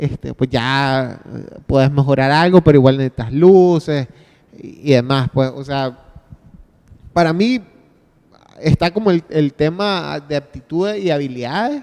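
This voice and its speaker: A man with a Nicaraguan accent speaks at a fairly high pitch, with ordinary pitch variation. Long pauses come often. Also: fairly slow pace, dry, close sound with no echo. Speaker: podcaster. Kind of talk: panel discussion. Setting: stage with audience. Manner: halting.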